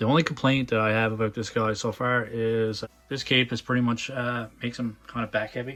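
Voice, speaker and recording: The intonation stays monotone and flat. Delivery moves at a fairly quick pace. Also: man, medium pitch for a man. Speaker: toy reviewer. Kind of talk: unboxing review. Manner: casual, hesitant with fillers.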